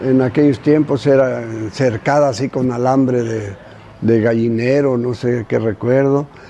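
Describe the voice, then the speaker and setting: Fairly even intonation from a man amid clearly audible background noise. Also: medium pitch for a man, fairly slow pace. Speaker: elderly local resident. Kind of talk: interview recollection. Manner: halting.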